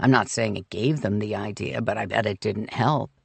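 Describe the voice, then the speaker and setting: Using a raspy, put-on character voice, a man speaks at a moderate pace in a fairly low pitch with ordinary pitch variation. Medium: read story.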